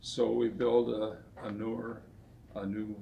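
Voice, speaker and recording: Audible room echo around a fairly low male voice, its pitch varying in an ordinary way. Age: 80s+. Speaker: car dealership owner. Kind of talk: casual interview.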